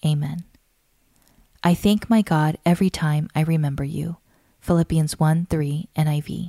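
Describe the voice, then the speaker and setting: A woman with a fairly low pitch speaks in a somewhat breathy, warm, dark and mellow tone with fairly even intonation, recorded dry and close with no echo. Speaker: podcast narrator. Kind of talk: scripted narration of a written prayer, read aloud as fervent intercession. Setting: studio. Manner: earnest, warm, measured cadence with rising supplication; steady, devotional, softly emphatic on lists of blessings.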